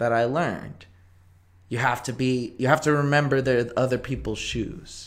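With a plain, everyday voice, a man talks at a moderate pace in a medium pitch and fairly even intonation. The recording is very clean, with a silent background. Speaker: podcast host. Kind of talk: casual chat. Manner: casual, joking.

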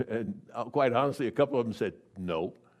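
A man's voice with vocal fry at a fairly quick pace, on a very clean recording with a silent background. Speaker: retired lay preacher. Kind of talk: sermon. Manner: halting.

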